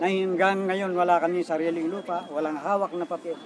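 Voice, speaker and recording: Noticeable background noise sits behind a man who speaks at a high pitch. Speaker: farmer. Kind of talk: on-the-spot interview. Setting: outdoors at a protest site.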